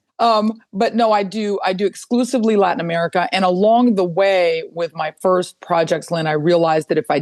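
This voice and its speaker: A woman speaks at a fairly quick pace with ordinary pitch variation. Her voice sounds dry and close, with no echo. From Mexico and rural South Texas. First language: Spanish. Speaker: environmental lawyer. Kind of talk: podcast interview.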